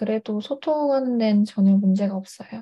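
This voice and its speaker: A woman's fairly high, somewhat breathy voice with ordinary pitch variation. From China (Hangzhou), Korean family. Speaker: university student and tutor. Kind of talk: interview. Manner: hesitant, many fillers.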